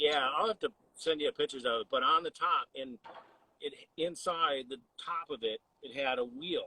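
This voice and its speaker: At a moderate pace, a man speaks in an ordinary speaking voice, fairly high in pitch, with ordinary pitch variation. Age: 60s. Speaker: HVAC business owner. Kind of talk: casual chat.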